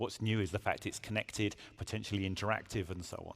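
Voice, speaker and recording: Heard in a very clean recording with a silent background, a man with a British accent speaks very fast at fairly low pitch, his intonation fairly even. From UK. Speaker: automotive industry panelist. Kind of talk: conference panel discussion.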